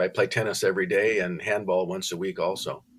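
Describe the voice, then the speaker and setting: In an American accent, a man with a fairly low pitch talks at a fairly quick pace in a monotone, flat intonation. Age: 70s. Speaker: retired contractor and author. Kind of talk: interview.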